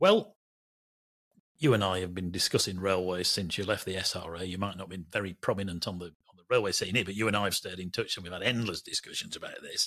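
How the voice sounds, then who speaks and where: A man with a Lancashire accent, very deep and low in pitch, at a very fast pace with fairly even intonation and big swings in loudness, in a very clean recording with a silent background. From Lancashire, Burnley. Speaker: railway journalist, podcast co-host. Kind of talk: casual chat.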